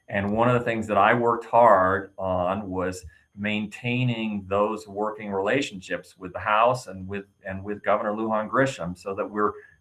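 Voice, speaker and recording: A man with a fairly low pitch and an ordinary speaking voice talks at a moderate pace with fairly even intonation against a quiet background. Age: 60s. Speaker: state senator. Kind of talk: interview.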